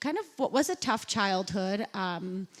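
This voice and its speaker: The speaker is a woman with a Chicago accent. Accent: American (Chicago) English. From US Midwest, south side of Chicago. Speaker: journalist and podcast host. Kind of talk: onstage interview.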